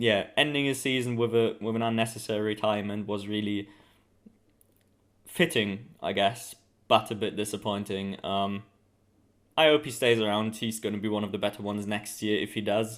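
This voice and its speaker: Speaking at a moderate pace with long, frequent pauses, a man has a fairly low pitch and a German accent. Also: fairly even intonation. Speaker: motorsport video commentator. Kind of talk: casual commentary. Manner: hesitant, many fillers.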